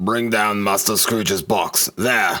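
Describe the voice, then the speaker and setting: A put-on character voice from a man, raspy and fairly low-pitched, with monotone, flat intonation at a fairly slow pace. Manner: terrible, booming, commanding.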